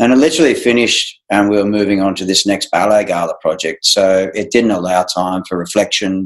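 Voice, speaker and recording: Barely pausing, a man with an Australian accent talks at a fairly low pitch. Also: ordinary pitch variation, fairly quick pace. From regional Australia (Wodonga, Victoria). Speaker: ballet director and former dancer. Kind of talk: casual interview.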